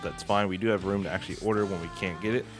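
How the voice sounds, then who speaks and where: A man talks very fast. Behind him, music is playing. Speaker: game streamer. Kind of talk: game guide voice-over.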